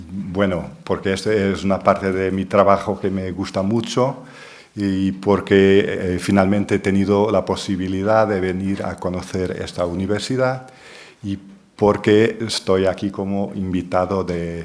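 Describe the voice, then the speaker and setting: In a Portuguese accent, a man speaks at a fairly slow pace with a very deep, low pitch. His intonation is monotone and flat, and audible room echo surrounds him. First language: Portuguese (speaking Spanish). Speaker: linguistics professor. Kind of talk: lecture.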